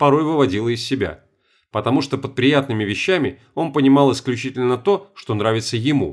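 The delivery is an unforced reading voice with ordinary pitch variation. The background is quiet.

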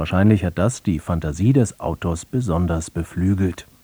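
At a moderate pace, a man speaks in a low-pitched voice with a dark, mellow tone, a slightly husky edge and ordinary pitch variation.

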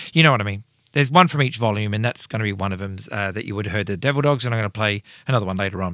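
A man with an Australian accent talks at a very fast pace in an animated, enthusiastic tone. The recording is very clean with a silent background. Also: fairly low pitch for a man, ordinary pitch variation. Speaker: rock radio show host. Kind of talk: radio dj patter. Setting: radio studio. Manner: animated, enthusiastic, casual; chatty, rambling fan talk.

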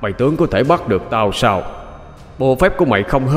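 Lively intonation carried by an unforced reading voice.

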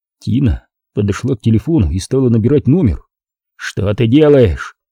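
Over a quiet background, plain reading aloud with lively intonation

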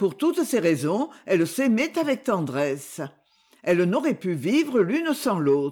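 What you hear is plain reading aloud.

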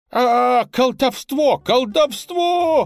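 A put-on character voice, shrill and fairly high in pitch, delivers the lines at a fairly slow pace. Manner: shrill, squealing.

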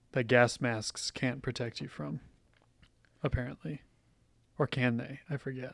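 A man talks at a fairly slow pace with medium pitch, ordinary pitch variation and vocal fry. Long pauses come often, and the sound is dry and close with no echo. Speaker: podcast co-host. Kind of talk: casual chat; show outro announcements. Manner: put-on podcast voice at start.

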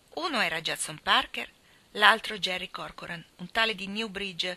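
In a natural voice with ordinary pitch variation, a text is read aloud.

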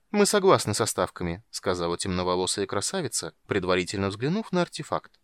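What comes through is an unforced reading voice.

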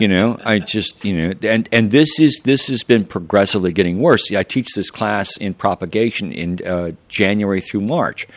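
A man with an unremarkable speaking voice and fairly low pitch talks at a moderate pace with ordinary pitch variation and hardly any pauses, in a dry, close sound with no echo. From Kansas, US Midwest. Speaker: gardening teacher and seed library founder. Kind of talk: casual interview.

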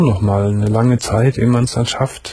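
A man talks at a moderate pace with fairly even intonation. His tone is dark and mellow, with a slightly husky edge.

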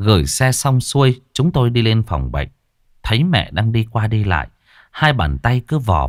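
The delivery is an unforced reading voice. Behind it the background is quiet.

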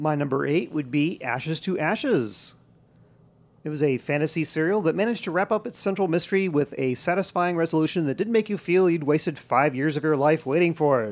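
In a very clean recording with a silent background, a man with a fairly high pitch and an unremarkable speaking voice speaks at a fairly quick pace with ordinary pitch variation. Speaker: podcast host. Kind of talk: casual chat.

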